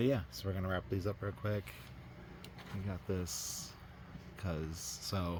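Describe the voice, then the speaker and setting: A man with an American accent, very deep and low in pitch, somewhat breathy, with ordinary pitch variation, a fairly slow pace and long, frequent pauses. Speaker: doll collector YouTuber. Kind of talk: casual vlog. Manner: hesitant, many fillers.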